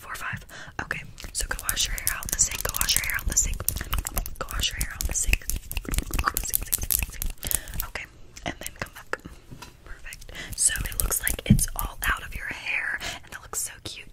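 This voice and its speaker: There is loud noise behind this woman, who speaks at a moderate speed. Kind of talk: ASMR roleplay chat. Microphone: phone near.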